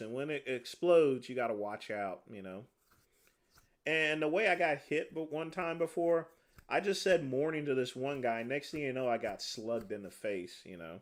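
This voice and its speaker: A normal speaking voice from a man, medium in pitch, with lively intonation, a moderate pace and big swings in loudness, on a very clean recording with a silent background. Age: 40s. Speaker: livestreamer, former corrections officer. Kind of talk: casual livestream chat answering viewer comments. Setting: livestream.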